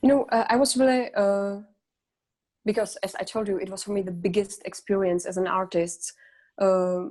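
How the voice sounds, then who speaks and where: A woman with a Czech accent talks at a moderate pace and medium pitch, her tone dark and mellow. Her pitch varies in an ordinary way, and she takes long, frequent pauses. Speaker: singer. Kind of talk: interview. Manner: halting.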